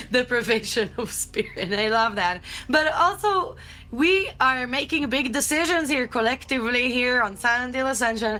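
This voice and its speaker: A woman with a non-native accent speaks at a moderate pace in a high pitch. Her tone is animated, bright, and sharp, with lively intonation. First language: not English. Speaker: livestream co-host. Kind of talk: casual chat.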